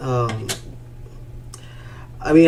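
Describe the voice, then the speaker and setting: Over noticeable background noise and audible room echo, a man speaks. He has an American accent, a medium pitch and a fairly slow pace. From Rio Grande Valley, Texas. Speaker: YouTube streamer. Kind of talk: live stream chat. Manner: monotone.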